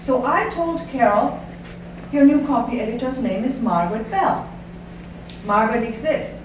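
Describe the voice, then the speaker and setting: At a moderate pace and with ordinary pitch variation, the speech carries audible room echo and noticeable background noise. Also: woman. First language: not English. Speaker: company owner giving a speech. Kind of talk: after-dinner speech with anecdotes.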